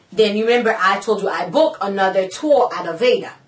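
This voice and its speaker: A woman speaks in an animated tone with lively intonation. She moves at a moderate pace over noticeable background noise. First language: Haitian Creole / French. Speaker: vlogger, cosmetology student. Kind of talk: casual vlog storytelling.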